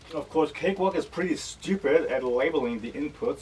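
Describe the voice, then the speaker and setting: Quiet speech at a moderate pace. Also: man. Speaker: music production youtuber. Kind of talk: gear unboxing tutorial. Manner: loud at start, quieter as video goes on.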